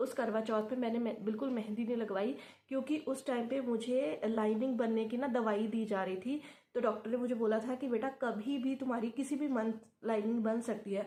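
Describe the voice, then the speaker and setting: A quiet voice of very even loudness, with a dark, mellow tone and fairly even intonation. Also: woman, fairly high pitch for a woman, moderate pace. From Punjab, India. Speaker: YouTuber sharing IVF experience. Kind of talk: casual vlog talk. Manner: halting, with filler sounds; quiet, late at night.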